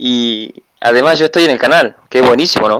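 In a dry, close recording with no echo, a man uses a normal speaking voice at medium pitch, with ordinary pitch variation and a moderate pace. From Tucumán, Argentina. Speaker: listener joining live. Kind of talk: casual chat. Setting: online call.

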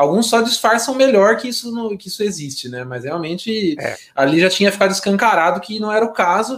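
A man's high-pitched voice at a fairly quick pace, with lively intonation, big swings in loudness, and hardly any pauses. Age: 30s. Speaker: gaming podcast co-host. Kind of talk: casual chat.

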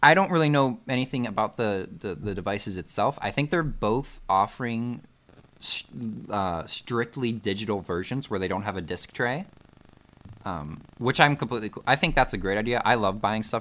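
On a very clean recording with a silent background, a man talks at a moderate pace in an ordinary speaking voice. His pitch is fairly low and his intonation lively. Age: 20s. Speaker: podcast host. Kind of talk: casual chat.

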